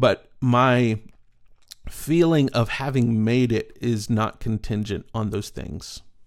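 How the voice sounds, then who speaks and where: A man with an ordinary speaking voice and an American accent speaks at a medium pitch with ordinary pitch variation, on a very clean recording with a silent background. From East Texas. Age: 40s. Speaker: storyteller and speaker. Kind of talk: casual interview.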